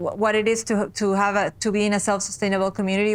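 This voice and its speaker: A woman's medium-pitched, monotone, flat voice at a fairly quick pace. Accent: Spanish. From South America. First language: Spanish. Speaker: podcast co-host. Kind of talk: casual chat. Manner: halting.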